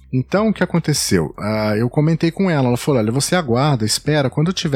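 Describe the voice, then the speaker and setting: The sound is dry and close, with no echo. A man speaks very fast, his pitch swinging very widely. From São Paulo state, Brazil. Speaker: travel blogger and podcaster. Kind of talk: casual interview chat.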